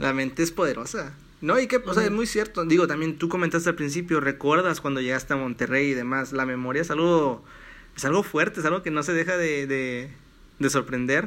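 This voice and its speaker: A man speaks at a fairly quick pace with a fairly high pitch and an unremarkable speaking voice. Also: ordinary pitch variation. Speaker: podcast host and economics student. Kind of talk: casual chat. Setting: at home in his bedroom.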